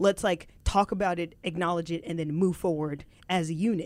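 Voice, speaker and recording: A woman talks at a fairly quick pace and medium pitch in an unremarkable speaking voice. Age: 40s. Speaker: podcast co-host. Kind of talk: casual chat.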